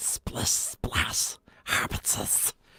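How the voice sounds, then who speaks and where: A raspy, put-on character voice. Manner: creepy.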